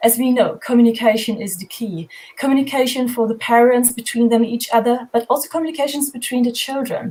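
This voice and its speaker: A woman with a German accent, high-pitched and fairly quick, fairly even in intonation with hardly any pauses, over noticeable background noise. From Germany. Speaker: homeschooling project founder. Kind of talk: panel discussion.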